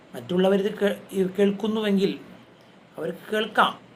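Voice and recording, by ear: Audible room echo surrounds a man's high-pitched voice, which has a fairly bright tone, ordinary pitch variation and a moderate pace.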